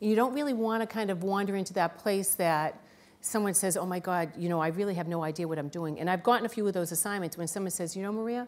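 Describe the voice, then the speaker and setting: A woman with a Boston accent at a very fast pace, medium in pitch with ordinary pitch variation. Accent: thick Boston. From Boston, US. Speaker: business executive. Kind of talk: panel discussion.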